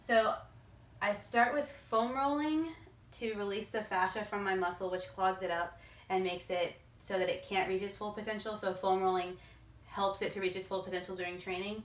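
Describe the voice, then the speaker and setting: Noticeable background noise and audible room echo surround the voice. Pitch variation is ordinary. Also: woman, medium pitch for a woman. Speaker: fitness youtuber. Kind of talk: tutorial. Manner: fast.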